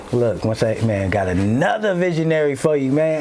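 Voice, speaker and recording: A man talks at a moderate speed with lively intonation while noticeable noise sounds in the background. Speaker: podcast host. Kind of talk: casual podcast chat. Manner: animated.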